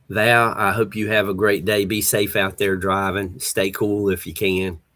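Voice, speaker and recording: A man with a Southern US accent speaks at a fairly slow pace in a fairly low pitch, his intonation flat and monotone. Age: 60s. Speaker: livestream host. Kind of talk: casual chat. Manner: relaxed, halting with fillers.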